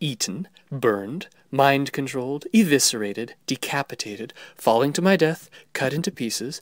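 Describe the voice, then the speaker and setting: In a very clean recording with a silent background, the delivery holds a moderate pace. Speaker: audiobook narrator. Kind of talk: audiobook reading of fan fiction. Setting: home recording with background noise.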